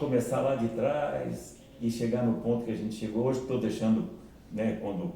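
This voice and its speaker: Audible room echo colors a man's medium-pitched voice. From Paraná, southern Brazil. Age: 70s. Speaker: orthopedic surgeon. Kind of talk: interview. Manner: halting, repeats words.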